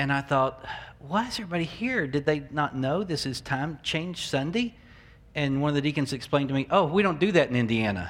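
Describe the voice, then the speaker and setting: A man with a Southern US accent speaks at a fairly quick pace, his pitch fairly high. His intonation is lively. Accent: Southern American. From US South, Memphis, Tennessee. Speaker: pastor. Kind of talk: sermon. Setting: church.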